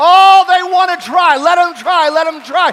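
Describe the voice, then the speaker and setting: A warm, animated tone in a raised, projected voice over noticeable background noise. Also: man. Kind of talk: sermon. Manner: animated, repetitive pulpit delivery with call-and-response; warm, conversational, mixing humor and altar-call urgency.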